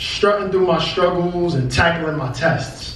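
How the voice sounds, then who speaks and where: Through noticeable background noise, a man with an American accent and a high pitch speaks at a very slow pace with ordinary pitch variation. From Brooklyn, New York. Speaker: spoken word poet. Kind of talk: spoken word poetry performance. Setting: live venue.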